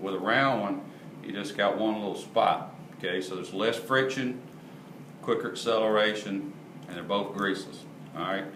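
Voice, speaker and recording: A man's fairly low pitch with fairly even intonation, long, frequent pauses, audible room echo and noticeable background noise. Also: moderate pace. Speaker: parts manufacturer explaining product. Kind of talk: product explanation tutorial. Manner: casual, repetitive.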